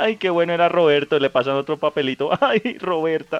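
At a moderate pace, a man with a fairly high pitch speaks in an unremarkable speaking voice with ordinary pitch variation. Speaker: podcast co-host. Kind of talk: casual chat.

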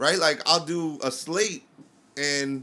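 A man speaks with a New York accent at a fairly high pitch. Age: 30s. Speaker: DJ and army veteran. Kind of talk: casual chat.

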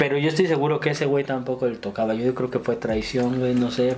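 Over noticeable background noise, a man with a medium pitch speaks at a fairly quick pace with fairly even intonation. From Mexico, Ciudad Nezahualcóyotl (Estado de México). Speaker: stand-up comedian. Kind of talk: casual chat.

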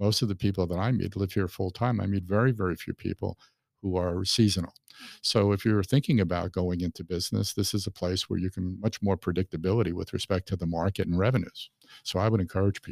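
Very deep and low in pitch, a man talks at a very fast pace with fairly even intonation in a very clean recording with a silent background. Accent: American. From New York City, Brooklyn. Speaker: magazine publisher. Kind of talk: casual interview. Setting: studio.

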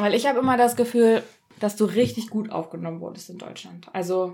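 With ordinary pitch variation, a plain, everyday voice goes along at a fairly quick pace. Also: woman. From Germany. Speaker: podcast host. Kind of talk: casual chat.

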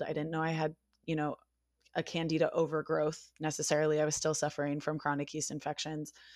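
A woman's very deep, low voice with a West Coast American accent, very fast and monotone, flat, in a very clean recording with a silent background. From Northern California, US. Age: 20s. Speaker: podcast guest living with Lyme disease. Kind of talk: casual interview chat.

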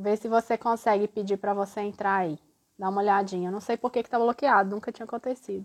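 Over a quiet background, a woman talks at a very fast pace with fairly even intonation. Her medium-pitched voice has a dry, close sound with no echo. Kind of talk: casual chat. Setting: live stream video call.

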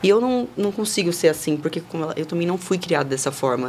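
A woman rattles along very fast, with noticeable noise in the background. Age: 20s. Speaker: model and influencer. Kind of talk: casual chat. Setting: studio.

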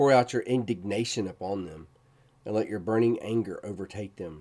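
A man speaks with an intense, dark, mellow tone. The recording is very clean, with a silent background. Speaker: podcast host and Bible teacher. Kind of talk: devotional Bible teaching, with scripture read aloud as prayer. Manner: fervent, pleading prayer, intense and impassioned, reading the psalm's cries for help; earnest, explanatory, conversational.

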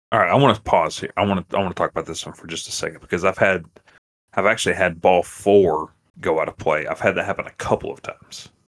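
Dry and close with no echo, a man's voice rushes at a very fast pace with big swings in loudness. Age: 30s. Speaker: umpire and podcast co-host. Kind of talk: casual chat.

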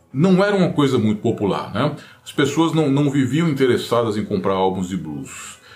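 Over music in the background, a man with a fairly high pitch speaks at a moderate pace with very wide pitch swings, amid audible room echo. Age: 50s. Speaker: guitar YouTuber. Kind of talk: casual monologue.

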